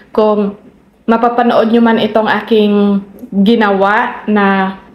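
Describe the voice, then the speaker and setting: A woman speaks very slowly at a fairly high pitch, her intonation fairly even. Audible echo from the room surrounds her voice. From Philippines, Visayas. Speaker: vlogger. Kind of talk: casual vlog talk to camera. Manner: halting, with many fillers and repetitions.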